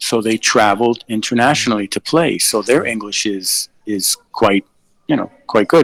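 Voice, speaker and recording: A man with a New York accent speaks at a very slow pace and a medium pitch. The sound is dry and close, with no echo. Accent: New York American English. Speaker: English tutor, caller. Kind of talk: casual live stream chat. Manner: hesitant, many fillers.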